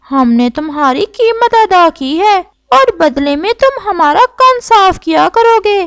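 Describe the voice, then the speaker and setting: A woman uses a cartoonish character voice at an extremely high pitch. She goes at a fairly slow pace with hardly any pauses. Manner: regal, benevolent.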